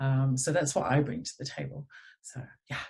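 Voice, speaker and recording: A woman speaks with an English accent at a moderate pace. Her voice is somewhat breathy, with fairly even intonation. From England. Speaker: energy healing center owner. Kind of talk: interview.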